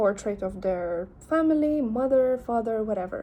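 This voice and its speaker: A fairly high-pitched woman with a Lithuanian accent, a dark, mellow tone and lively intonation. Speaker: artist and vlogger. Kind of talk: casual vlog. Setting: selfie camera.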